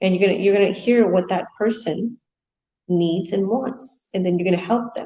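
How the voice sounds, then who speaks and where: A woman talks at a very fast pace in a somewhat breathy voice with a dark, mellow tone. Her pitch is medium and her intonation fairly even. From India. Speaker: online business coach. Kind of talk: motivational talk.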